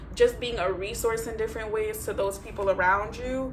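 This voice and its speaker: Noticeable background noise and audible room echo accompany the woman as she speaks. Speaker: tarot reader. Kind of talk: tarot reading. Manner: fast; casual, filler-heavy.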